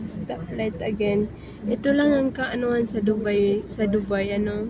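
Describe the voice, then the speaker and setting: A woman speaks softly at a fairly slow pace, her pitch fairly high. Her intonation stays fairly even, with noticeable background noise behind her. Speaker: vlogger. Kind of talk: travel vlog narration. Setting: on a bus. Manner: soft-spoken.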